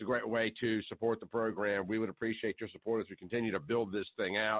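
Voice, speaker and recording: In a flat monotone, a man with a fairly low pitch speaks at a very fast pace. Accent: American. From US South. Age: 50s. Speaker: talk radio host. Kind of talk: talk radio monologue. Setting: live call-in show.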